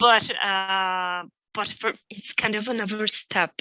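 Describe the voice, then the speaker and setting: On a very clean recording with a silent background, a woman with a non-native accent speaks very slowly at a medium pitch with fairly even intonation. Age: 50s. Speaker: Joyce reader, reading group member. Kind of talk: casual chat. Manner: halting.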